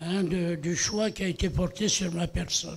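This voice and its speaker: With a high pitch, a man talks at a fairly slow pace with ordinary pitch variation. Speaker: veteran journalist and ceremony sponsor. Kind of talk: ceremonial speech. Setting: stage with audience. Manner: halting.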